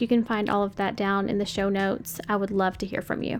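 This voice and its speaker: A woman with an American accent talks over music in the background. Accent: Kentucky accent slips out sometimes. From Western Kentucky, US. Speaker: podcast host. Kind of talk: podcast monologue. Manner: casual, many fillers.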